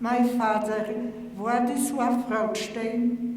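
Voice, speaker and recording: Very slowly and with fairly even intonation, a woman speaks with a Polish accent at a fairly high pitch. Noticeable background noise and audible room echo surround her. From Poland. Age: 80s+. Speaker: Holocaust survivor. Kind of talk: testimony. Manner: halting.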